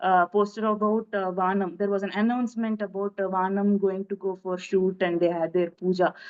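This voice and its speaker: A woman speaks with a Telugu accent at a moderate pace. The background is quiet. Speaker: film director. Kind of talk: interview. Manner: halting.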